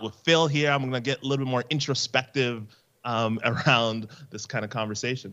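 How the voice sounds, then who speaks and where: A man with a Canadian accent talks in an ordinary speaking voice at a fairly quick pace, his medium pitch held to fairly even intonation. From Canada. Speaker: podcaster and esports veteran. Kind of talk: casual interview chat.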